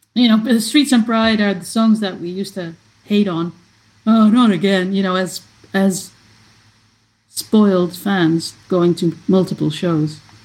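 A woman of medium pitch talks at a fairly slow pace with long, frequent pauses, a somewhat breathy sound and ordinary pitch variation. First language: Dutch. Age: 50s. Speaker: fan site founder. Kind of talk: casual chat.

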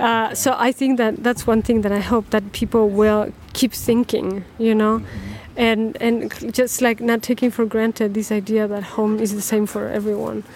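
A woman speaks with a Spanish accent at a fairly high pitch. Her delivery is monotone and flat, at a moderate pace with hardly any pauses. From Chile. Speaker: documentary filmmaker and artist. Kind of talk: interview.

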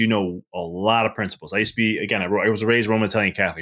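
Delivered at a very fast pace with fairly even intonation, this American accent comes through on a very clean recording with a silent background. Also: man. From Chicago area, Melrose Park. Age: 30s. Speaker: business mindset coach and chiropractor. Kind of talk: casual interview.

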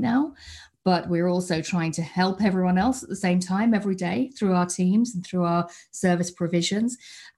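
A woman with a British accent speaks in a fairly low, somewhat breathy voice, recorded very cleanly against a silent background. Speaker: customer support leader. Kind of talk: interview. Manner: halting.

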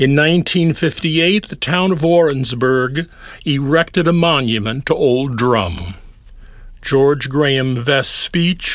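This man has a normal speaking voice with a fairly high pitch. He talks at a fairly slow pace with lively intonation. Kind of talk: scripted narration introducing the piece.

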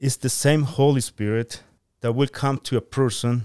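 A man speaks with a Spanish accent in a dry, close sound with no echo. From Guatemala. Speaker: church member. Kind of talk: Bible teaching discussion. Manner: halting, many fillers.

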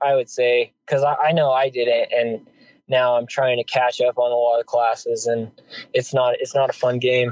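The man's medium-pitched voice stays monotone and flat at a moderate pace, with very even loudness and a dry, close sound with no echo. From New Mexico. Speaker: hotshot wildland firefighter. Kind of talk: casual interview.

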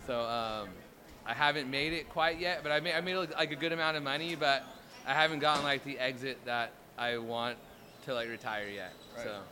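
A man talks at a fairly quick pace with an American accent. He has an ordinary speaking voice. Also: fairly high pitch for a man, ordinary pitch variation. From Southern California. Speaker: startup founder. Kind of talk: street interview.

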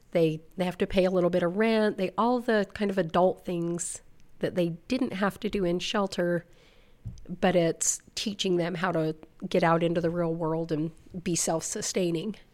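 A woman speaks in a normal speaking voice at a moderate pace with fairly even intonation. The recording is very clean, with a silent background. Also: fairly low pitch for a woman. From Utah (South Weber, northern Utah). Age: 50s. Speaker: youth shelter outreach coordinator. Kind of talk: interview.

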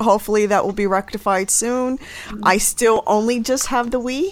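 In an American accent, a woman talks at a medium pitch. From New York City (the Bronx). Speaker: family therapist and podcast co-host. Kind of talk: casual chat.

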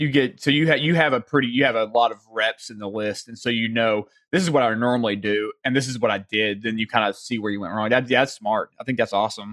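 Talking very fast with hardly any pauses, a man with a Southern US accent comes through in a dry, close sound with no echo. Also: medium pitch for a man, ordinary pitch variation. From US South. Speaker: podcast host. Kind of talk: casual interview.

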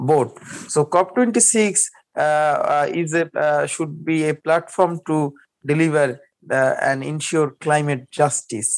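Speaking at a very slow pace, a man talks with a Bengali accent. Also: fairly high pitch for a man, ordinary pitch variation. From Bangladesh (Barisal). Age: young. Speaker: climate activist and journalist. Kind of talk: interview conversation.

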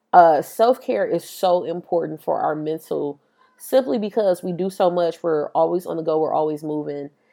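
At a moderate pace, a woman with an American accent speaks in a fairly low pitch with a dark, mellow tone. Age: 20s. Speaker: podcast host. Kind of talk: casual monologue. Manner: animated.

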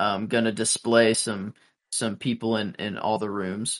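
A man at medium pitch and a fairly slow pace, over a quiet background. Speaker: podcast co-host. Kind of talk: casual chat. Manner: hesitant, filler-heavy.

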